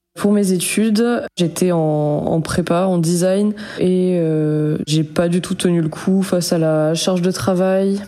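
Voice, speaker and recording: The speech moves at a very slow pace, with fairly even intonation and very even loudness. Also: woman, fairly low pitch for a woman. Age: 20s. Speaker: storyteller sharing paranormal experience. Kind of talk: personal testimony. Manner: hesitant, many fillers.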